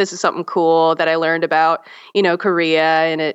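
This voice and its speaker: A woman with an American accent has a normal speaking voice, pitched fairly low. She talks at a fairly quick pace over a quiet background. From US South, South Carolina. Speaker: teacher and religious studies graduate. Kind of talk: casual chat.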